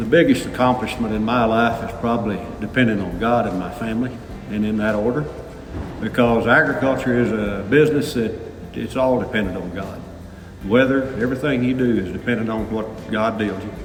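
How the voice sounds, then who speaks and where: Noticeable background noise and audible room echo surround a man speaking at a fairly quick pace. His pitch is medium, with ordinary variation. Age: 60s. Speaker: farmer. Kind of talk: interview testimony. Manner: halting.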